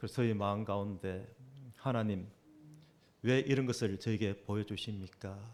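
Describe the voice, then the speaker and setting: A fairly low-pitched man with a Gyeongsang accent, fairly even intonation, and long, frequent pauses. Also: moderate pace. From South Korea, Busan. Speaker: preacher. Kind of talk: sermon. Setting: church.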